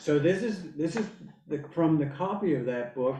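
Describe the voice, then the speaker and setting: Lively intonation from a man, with audible room echo. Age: 70s. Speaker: lecturer on philosophy. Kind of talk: lecture. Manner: halting.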